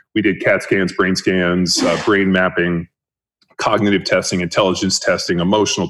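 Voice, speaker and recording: A man talks at a fairly quick pace. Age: 40s. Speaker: strength coach and former NFL player. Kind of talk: interview conversation. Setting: office podcast room.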